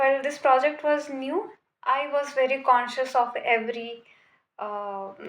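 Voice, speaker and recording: Fairly slow, high-pitched speech from a woman amid audible room echo. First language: not English. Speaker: vlogger. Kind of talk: casual monologue to camera. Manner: hesitant, many fillers.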